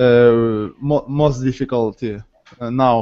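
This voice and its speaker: With a Ukrainian accent, a man talks at a very slow pace using fairly even intonation. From Ukraine. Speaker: language student. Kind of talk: online language lesson. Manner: halting, many hesitations.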